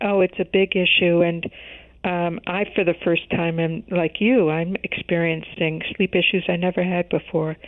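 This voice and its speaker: Her voice sits at a fairly low pitch, with monotone, flat intonation. The woman speaks at a moderate pace in an American accent. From US Midwest, Chicago. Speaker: health journalist. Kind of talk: interview.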